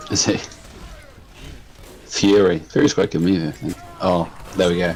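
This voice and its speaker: Amid noticeable background noise, a man speaks at a very deep, low pitch with ordinary pitch variation. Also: moderate pace. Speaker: esports caster. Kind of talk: live commentary. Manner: loud.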